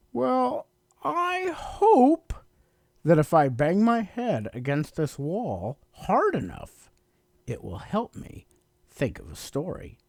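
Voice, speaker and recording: Everything comes out at a very slow pace. The delivery is a put-on character voice. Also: man, high pitch for a man. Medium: read story.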